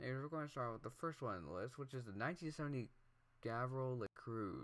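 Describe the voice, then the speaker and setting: Speaking at a very fast pace, a man holds a medium pitch. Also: ordinary pitch variation. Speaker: gaming YouTuber. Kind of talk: gameplay commentary. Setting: at home. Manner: quieter than usual; hesitant, many fillers.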